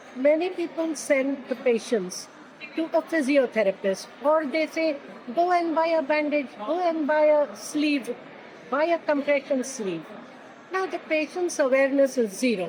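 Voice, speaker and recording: Noticeable background noise surrounds a woman whose high voice moves with lively intonation at a fairly slow pace. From India, Pune. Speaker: lymphedema therapist and research consultant. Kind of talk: interview.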